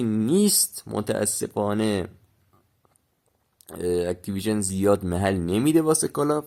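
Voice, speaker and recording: A man talks slowly at a fairly low pitch with a dark, mellow tone and very wide pitch swings, leaving long, frequent pauses. The recording is very clean with a silent background. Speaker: gaming youtuber. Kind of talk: casual gaming chat to viewers. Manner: casual, halting with fillers.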